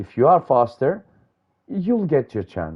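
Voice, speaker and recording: A man with a non-native accent talks at a fairly slow pace, his pitch swinging very widely. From Greece. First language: Greek. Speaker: sim racing commentator. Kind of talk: live commentary. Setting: live stream broadcast. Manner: hesitant, many fillers.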